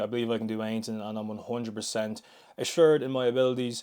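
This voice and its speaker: Talking at a very fast pace with a medium pitch and monotone, flat intonation, a man with an Irish accent is heard on a very clean recording with a silent background. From Ireland. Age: 20s. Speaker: fitness vlogger. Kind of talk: casual vlog monologue. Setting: gym.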